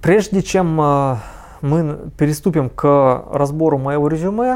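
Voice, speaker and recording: A man speaks very slowly with lively intonation. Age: 30s. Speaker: recruiting agency director. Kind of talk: tutorial. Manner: halting, frequent filler sounds.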